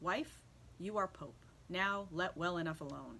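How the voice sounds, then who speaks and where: A put-on character voice at middle pitch and moderate pace, over clear background noise. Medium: read story. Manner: timid, reluctant.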